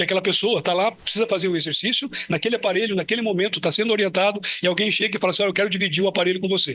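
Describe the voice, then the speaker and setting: A man speaks in a raised, projected voice at a very fast pace, with a high pitch and very even loudness. His intonation is fairly even, and there is noticeable background noise. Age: 70s. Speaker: physical education professor. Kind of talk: lecture.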